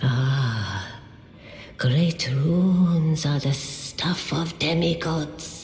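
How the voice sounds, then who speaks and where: A put-on character voice at middle pitch comes through with a slight echo. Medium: video game. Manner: solemn, formal.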